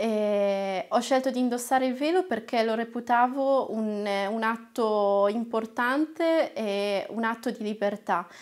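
A woman's fairly high voice at a very slow pace, with hardly any pauses, ordinary pitch variation and a quiet background. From northern Italy, Lombardy (Castiglione delle Stiviere); Lombardy, Italy. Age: 20s. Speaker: trainee lawyer and activist; trainee lawyer. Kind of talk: personal testimony to camera. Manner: hesitant, frequent filler sounds. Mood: warm, reflective. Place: studio.

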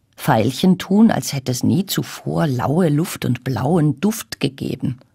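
Against a quiet background, a woman speaks at a very slow pace. Her very deep, low pitch makes very wide swings. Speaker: actress, voice actress. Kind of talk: poetry reading. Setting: radio broadcast recording. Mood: warm, gentle, smiling. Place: booth. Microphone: studio mic.

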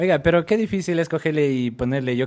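This man talks at a very fast pace. His pitch varies in an ordinary way. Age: 20s. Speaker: radio host. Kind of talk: casual chat. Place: studio. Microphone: studio mic.

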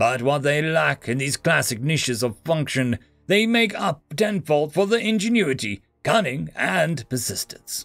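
Using a put-on character voice, a man speaks at a fairly slow pace with few pauses, a fairly high pitch, vocal fry, a fairly bright tone and lively intonation, on a very clean recording with a silent background and faint music in the background.

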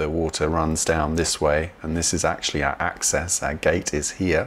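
A man with a very deep, low voice talks at a moderate pace. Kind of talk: tutorial. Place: home room. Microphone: webcam.

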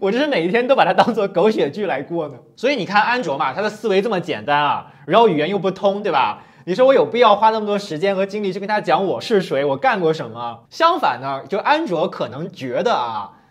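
A man with a high pitch, very wide pitch swings and an animated tone, at a fairly quick pace with hardly any pauses, over a quiet background. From China. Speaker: video blogger. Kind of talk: casual storytelling monologue. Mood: amused, exasperated at times. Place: studio. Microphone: lapel.

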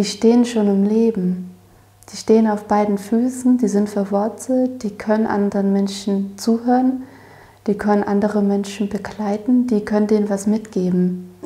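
Somewhat breathy and dark, mellow in tone, a woman's voice moves at a moderate pace with monotone, flat intonation. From Erzgebirge, Saxony, Germany. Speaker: apprentice gardener. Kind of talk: casual interview. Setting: tea kitchen of a dairy, interview.

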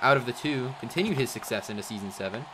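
Lively intonation and an animated, upbeat tone come through over noticeable background noise. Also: man. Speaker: sports commentator. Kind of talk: live play-by-play sports commentary for a Minecraft hockey game. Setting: live stream. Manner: rapid-fire, clipped play-by-play, animated and upbeat.

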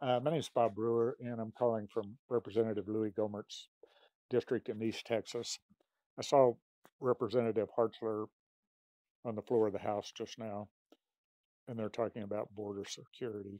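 Against a quiet background, a man with a dark, mellow tone speaks in a flat monotone with long, frequent pauses, the sound dry with no echo. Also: moderate pace. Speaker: caller. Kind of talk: phone call conversation. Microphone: phone near.

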